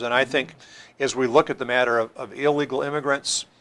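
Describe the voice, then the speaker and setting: This man speaks with an American accent at a medium pitch and moderate pace. His tone is bright and sharp, and his intonation is flat and monotone. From US Midwest. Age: 60s. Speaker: pastor. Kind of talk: panel discussion.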